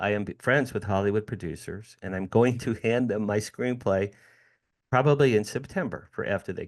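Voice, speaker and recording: A man's ordinary speaking voice at a moderate pace, with ordinary pitch variation and a quiet background. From US Northeast, New Jersey. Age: 60s. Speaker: entertainment publicist and author. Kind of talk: interview.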